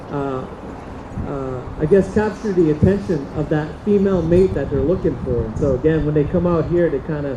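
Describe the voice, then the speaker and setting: A man speaks at a moderate pace and fairly high pitch, with lively intonation. Background noise is noticeable, and room echo can be heard. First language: Diné (Navajo). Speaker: powwow dancer. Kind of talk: cultural presentation to audience. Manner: halting, many fillers.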